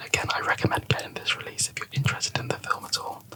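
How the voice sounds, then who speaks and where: A man whispers at a fairly quick pace over noticeable background noise. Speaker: ASMR YouTuber, Blu-ray collector. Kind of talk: ASMR ramble, casual movie chat to camera. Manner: soft-spoken, whispered.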